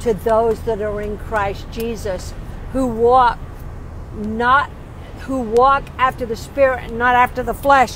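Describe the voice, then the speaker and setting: Against light background noise, a woman speaks at a very slow pace, the sound dry with no echo. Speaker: lay preacher. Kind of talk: sermon. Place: car. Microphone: earbuds.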